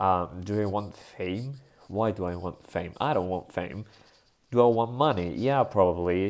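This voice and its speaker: With a Spanish accent, a man talks at a fairly slow pace using ordinary pitch variation, recorded very cleanly against a silent background. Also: fairly low pitch for a man. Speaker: vlogger. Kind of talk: casual monologue vlog. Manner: halting, with fillers and self-corrections.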